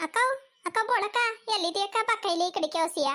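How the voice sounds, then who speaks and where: A squeaky put-on character voice from a woman, extremely high in pitch, at a fairly quick pace. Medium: cartoon.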